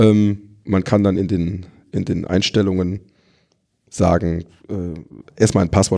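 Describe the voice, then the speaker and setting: The voice has a dark, mellow tone and ordinary pitch variation at a fairly slow pace. The recording is very clean with a silent background. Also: man. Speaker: WordPress security and maintenance consultant. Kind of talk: expert interview. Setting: recorded at a conference. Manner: frequent fillers and repetitions.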